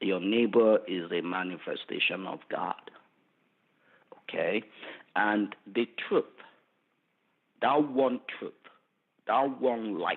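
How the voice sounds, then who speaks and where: A very slow pace in a Nigerian accent, with long, frequent pauses. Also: man. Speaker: forensic pathologist. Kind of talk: interview answer.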